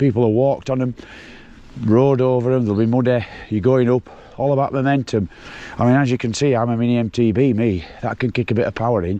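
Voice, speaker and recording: A man with a Yorkshire accent, medium pitch, dark, mellow tone, fairly even intonation, very fast pace and long, frequent pauses. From Yorkshire, England. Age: 60s. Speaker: mountain bike vlogger. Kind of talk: casual vlog narration while riding. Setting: outdoors on a bike ride.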